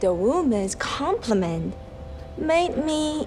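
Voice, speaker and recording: A woman speaks at a very slow pace in a Chinese accent, her pitch swinging very widely. Music plays in the background, and the room echo is audible. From China. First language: Mandarin Chinese. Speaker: storyteller, yoga teacher. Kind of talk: personal story reading.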